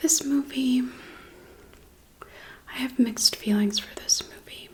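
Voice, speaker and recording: A woman whispers at a very slow pace. Noticeable background noise runs beneath her. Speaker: ASMR creator. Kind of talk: ASMR mukbang rambling movie review. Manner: soft-spoken.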